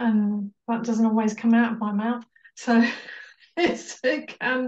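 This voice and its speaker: A woman speaks. Her pace is fairly slow. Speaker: coaching client giving review. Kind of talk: interview answer. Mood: warm, reflective. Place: home room. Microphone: video call.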